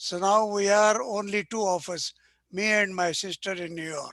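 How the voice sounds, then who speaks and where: Bright, sharp male voice at a high pitch with fairly even intonation and a moderate pace, dry and close with no echo over a quiet background. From central India (Gwalior). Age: 90s. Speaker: retired agriculturist and academician. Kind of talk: oral history interview. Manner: halting, self-correcting.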